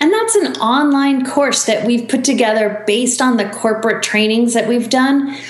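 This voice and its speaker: A woman's high voice at a moderate pace, very even in loudness and fairly even in intonation, with hardly any pauses, audible room echo and noticeable background noise. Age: 40s. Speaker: author and business coach. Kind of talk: interview.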